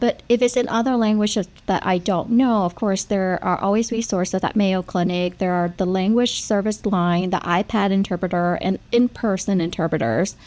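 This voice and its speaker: A woman with a Vietnamese accent talks at a moderate pace with hardly any pauses. Her pitch is medium with ordinary variation, and her loudness is very even. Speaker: nurse practitioner. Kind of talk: panel discussion.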